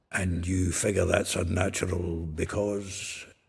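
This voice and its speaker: A man puts on a gruff character voice with a very deep, low pitch. His intonation is monotone and flat, and his pace is fairly slow. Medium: video game. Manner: gruff, jovial, salty.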